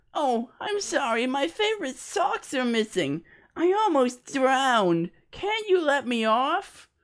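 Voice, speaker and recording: A female-sounding voice does a put-on character voice at high pitch, with very wide pitch swings and a fairly slow pace, in a very clean recording with a silent background. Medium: read story. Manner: brash, rude.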